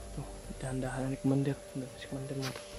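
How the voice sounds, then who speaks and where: Speech at a very fast pace runs over music in the background. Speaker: adventure vlogger. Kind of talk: outdoor vlog narration. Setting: outdoors, mountain creek. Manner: halting.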